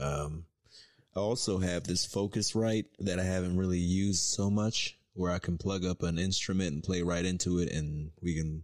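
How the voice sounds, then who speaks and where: In a very clean recording with a silent background, a man with a very deep, low pitch speaks at a moderate pace, his intonation fairly even and his loudness very even. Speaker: podcast host. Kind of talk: casual chat.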